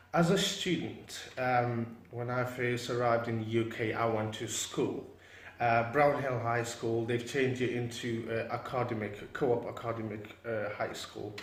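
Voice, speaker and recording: Fairly even intonation from a man at medium pitch, moderately paced, with audible echo from the room. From Afghanistan, raised from age 10 in England (Stoke-on-Trent area). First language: Pashto or Dari. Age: 20s. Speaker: graduate, institution founder. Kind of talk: interview.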